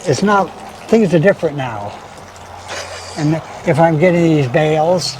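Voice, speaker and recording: Over noticeable background noise, a man with a fairly high voice talks at a moderate pace with ordinary pitch variation and long, frequent pauses. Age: 70s. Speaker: oxen farmer. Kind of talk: casual chat. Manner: halting.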